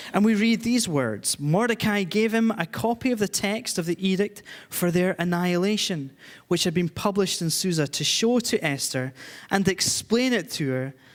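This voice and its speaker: A man with a Scottish accent talks at a moderate pace in a high-pitched voice. The recording is very clean, with a silent background. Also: lively intonation. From Scotland. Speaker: charity director and guest preacher. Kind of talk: church sermon.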